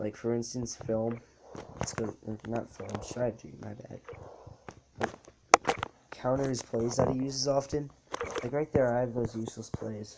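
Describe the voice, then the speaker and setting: Noticeable background noise sits behind speech that goes at a fairly slow pace. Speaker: gaming youtuber. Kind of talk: gameplay tutorial commentary. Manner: casual; halting, self-correcting.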